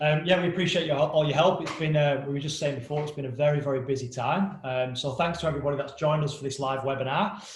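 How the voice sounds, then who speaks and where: Heard with audible room echo, a man talks at a fairly quick pace in a fairly high pitch, his intonation fairly even. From England. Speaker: company co-founder. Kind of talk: webinar presentation. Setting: live webinar.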